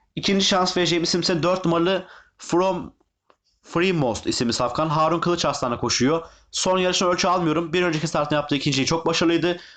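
Very fast and fairly even in intonation, a man speaks at a high pitch. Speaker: horse racing tipster. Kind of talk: betting tips video monologue. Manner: halting, many filler sounds.

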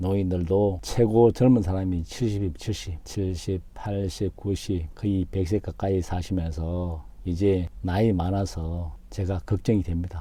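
A man's very deep, low, somewhat breathy voice with a dark, mellow tone, a very slow pace, fairly even intonation, and hardly any pauses. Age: 50s. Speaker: YouTuber. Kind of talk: vlog monologue. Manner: formal.

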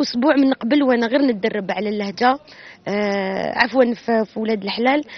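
A woman talks at a moderate pace with ordinary pitch variation. The sound is dry with no echo. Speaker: actress. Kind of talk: interview answer. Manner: casual, cheerful. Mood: cheerful, relaxed. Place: street. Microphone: handheld.

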